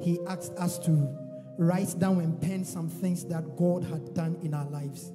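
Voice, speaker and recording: Clear music plays behind a man whose high voice stays flat and monotone. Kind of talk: sermon exhortation. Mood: reverent, encouraging. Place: church. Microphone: handheld.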